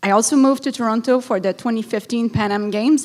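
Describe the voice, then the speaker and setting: Talking at a fairly quick pace, a woman with a fairly high pitch speaks in a Quebec accent. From Montreal, Quebec. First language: French. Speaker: city council candidate, event planner. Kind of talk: prepared campaign speech.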